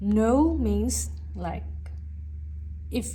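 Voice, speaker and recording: A woman is speaking. Her accent is non-native. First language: not English. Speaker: tarot reader. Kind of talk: tarot reading to camera.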